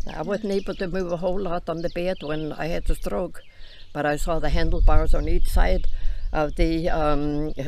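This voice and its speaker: The speaker talks with fairly even intonation in an Icelandic accent. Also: woman, fairly low pitch for a woman, moderate pace. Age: 90s. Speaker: grandmother interviewed on farm channel. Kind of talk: casual interview chat.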